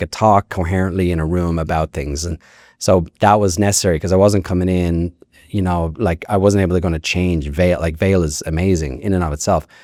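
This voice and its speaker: A man with an Irish accent and a very deep, low pitch talks at a fairly quick pace with fairly even intonation, in a dry, close sound with no echo. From Ireland. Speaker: ski resort executive. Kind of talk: podcast interview. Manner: casual, many fillers.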